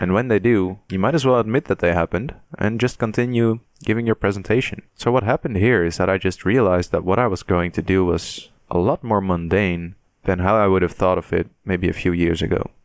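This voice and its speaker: Talking at a fairly quick pace with a non-native accent, a man uses a fairly low pitch with ordinary pitch variation. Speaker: podcast host. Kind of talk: casual chat. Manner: halting.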